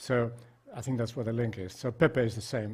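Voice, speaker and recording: A man speaks with a Spanish accent in a somewhat breathy voice. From Spain. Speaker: psychiatrist. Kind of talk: lecture.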